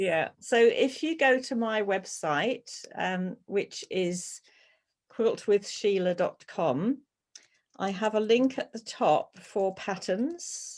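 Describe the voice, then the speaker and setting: Speaking very slowly with a British accent, a woman with a fairly high voice uses lively intonation against a quiet background. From UK. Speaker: quilt pattern designer and teacher. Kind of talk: webinar Q&A. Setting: online video webinar.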